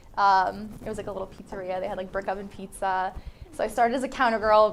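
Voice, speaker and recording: A woman speaks with a New Jersey accent. Her pitch sits at medium with ordinary variation. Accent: New Jersey American English. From New Jersey, Vineland. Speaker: high school English teacher. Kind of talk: casual interview. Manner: casual, many fillers.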